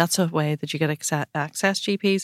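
A woman talks with a Northern Irish accent at a fairly low pitch and with fairly even intonation. The recording is very clean, with a silent background and a dry, close sound with no echo. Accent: Northern Irish (Tyrone). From Northern Ireland, County Tyrone. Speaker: pharmacy business owner. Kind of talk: interview conversation.

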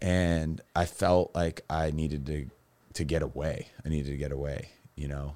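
Speaking with an American accent, a man with a very deep, low pitch and a dark, mellow tone talks at a moderate pace in a monotone, flat intonation. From Massachusetts, Cape Cod. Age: 30s. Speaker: personal trainer and recovering alcoholic. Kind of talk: interview testimony about addiction and recovery.

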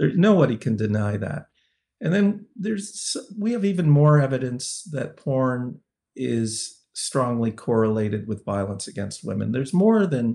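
Against a quiet background, a man speaks fairly slowly in a dark, mellow, somewhat breathy voice of medium pitch with very wide pitch swings. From Canada. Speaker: sociology professor and researcher on violence against women. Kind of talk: interview.

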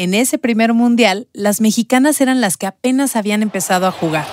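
An ordinary speaking voice with lively intonation, at a moderate pace, in a dry, close sound with no echo. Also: woman. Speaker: journalist and podcast host. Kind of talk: scripted narration.

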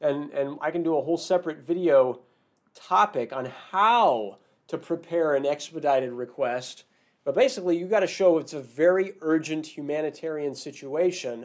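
An unremarkable speaking voice from a man, fairly high-pitched, at a moderate pace with ordinary pitch variation. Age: 40s. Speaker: immigration lawyer and podcast host. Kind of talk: live-stream monologue. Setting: live video stream. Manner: casual, filler-heavy.

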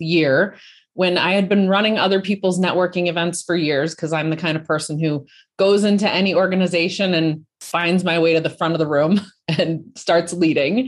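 This woman has an ordinary speaking voice, fairly low in pitch with ordinary variation. She talks at a moderate pace in an American accent. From Colorado, US. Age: 40s. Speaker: entrepreneur, founder of a women's business network. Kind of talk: interview.

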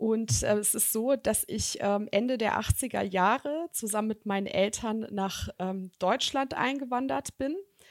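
A woman with a fairly high pitch talks at a very slow pace with ordinary pitch variation, in a dry, close sound with no echo on a very clean recording with a silent background. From Germany, Bonn. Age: 30s. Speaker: executive recruiter. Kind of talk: podcast interview.

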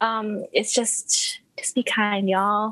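In an American accent, a woman speaks at a fairly high pitch with monotone, flat intonation. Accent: international, American-sounding English. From Malaysia. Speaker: product manager. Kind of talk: casual chat.

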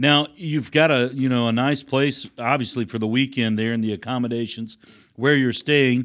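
This man has an unremarkable speaking voice, medium in pitch, talking at a moderate pace with fairly even intonation. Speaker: podcast host. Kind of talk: interview.

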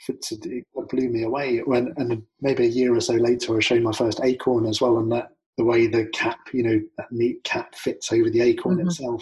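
A somewhat breathy male voice at medium pitch, with a moderate pace and fairly even intonation. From London, then southern England. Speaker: naturalist and nature educator. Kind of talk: casual interview. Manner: hesitant with many fillers.

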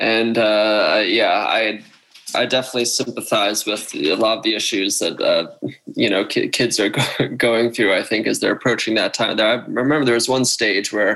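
Over noticeable background noise, a man with an American accent talks at a moderate pace with very even loudness. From Pennsylvania, Philadelphia suburbs. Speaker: professional squash player. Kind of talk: interview.

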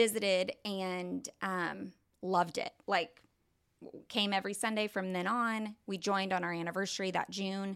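In a very clean recording with a silent background, a woman with an American accent and a normal speaking voice talks at a moderate pace, her medium pitch held in fairly even intonation. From Oklahoma, Tulsa area. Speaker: church member sharing her story. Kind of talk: testimony.

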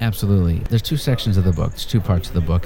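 A man with fairly even intonation, against noticeable background noise. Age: 40s. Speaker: writer. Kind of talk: interview; reading aloud.

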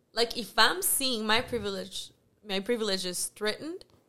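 This woman has a bright, sharp tone and a fairly high pitch. She speaks with a Mexican accent and ordinary pitch variation. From Mexico. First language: Spanish. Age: 20s. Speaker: actress. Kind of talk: casual chat.

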